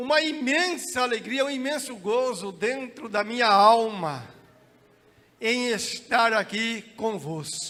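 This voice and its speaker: A man's raised, projected voice, shrill and extremely high-pitched, with lively intonation, a very slow pace and audible room echo. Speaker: pastor. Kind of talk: sermon. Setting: church.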